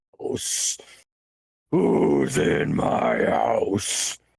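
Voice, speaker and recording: A man does a put-on character voice, loud, raspy and booming. His pitch sits very deep and low. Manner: commanding, thunderous.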